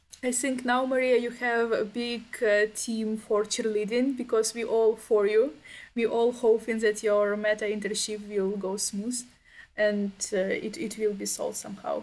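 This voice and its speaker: A woman's fairly high voice in a Ukrainian accent, monotone and flat in intonation, at a moderate pace. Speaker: event host. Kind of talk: casual chat. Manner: halting.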